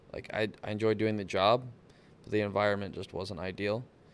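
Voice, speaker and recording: This man speaks in a Texan accent at a moderate pace with a fairly low pitch. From South Texas coast. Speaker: motorsports technician and off-road driver. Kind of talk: casual chat.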